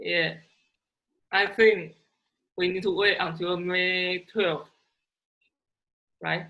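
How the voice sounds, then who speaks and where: A woman with a Chinese accent speaks very slowly in a medium pitch, her intonation monotone and flat, with long, frequent pauses. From China.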